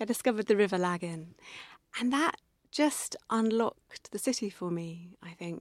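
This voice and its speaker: A woman with a southern English accent talks at a moderate pace, her pitch fairly high and her intonation lively. The recording is very clean with a silent background, and the sound is dry and close with no echo. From southern England, near Winchester. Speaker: poet and former environmental campaigner. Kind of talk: interview conversation.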